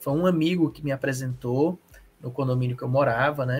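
Man with an unremarkable speaking voice, fairly high pitch, fairly even intonation and a moderate pace. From Ceará, Brazil. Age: 40s. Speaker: comic book artist and teacher. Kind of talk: interview.

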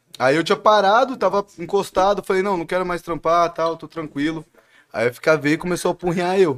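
A man at a moderate pace. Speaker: music manager. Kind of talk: casual chat.

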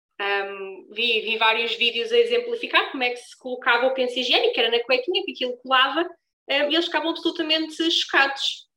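A woman with a high voice raises and projects it, talking at a fairly quick pace with lively intonation. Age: 20s. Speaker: brand founder moderating a panel. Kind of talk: live panel discussion.

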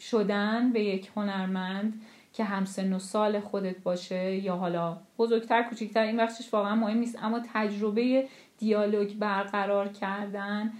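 A woman's medium-pitched, flat, monotone voice at a fairly slow pace. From Iran, Tehran. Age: 30s. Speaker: sculptor. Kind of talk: interview.

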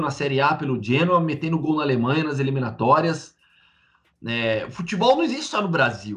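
Lively in intonation and fairly high in pitch, a man talks in a normal speaking voice. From Campinas, interior of São Paulo, Brazil. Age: 30s. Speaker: sports journalist. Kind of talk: interview.

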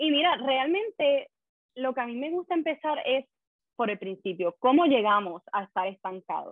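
Very wide pitch swings at a moderate pace. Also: woman, high pitch for a woman. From Puerto Rico. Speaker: life coach. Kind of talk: podcast interview.

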